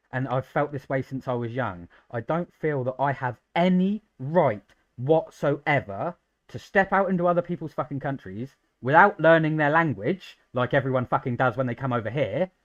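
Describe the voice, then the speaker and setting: A man with a British accent speaks at a moderate pace, his pitch fairly high and his tone animated with lively intonation. The sound is dry and close with no echo, over a quiet background. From Britain. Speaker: gaming streamer and modder. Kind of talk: casual chat.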